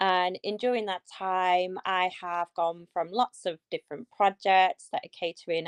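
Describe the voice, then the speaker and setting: Someone with a northwest English accent speaks at a fairly slow pace, keeping the intonation fairly even. The sound is dry and close with no echo, and the background is quiet. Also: woman. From northwest England. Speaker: educator and digital artist. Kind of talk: livestream interview.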